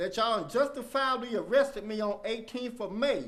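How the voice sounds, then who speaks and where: This man's voice is extremely high in pitch, with ordinary pitch variation. He talks at a moderate pace. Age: 60s. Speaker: community activist, military veteran. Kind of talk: public comment at a county meeting. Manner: halting.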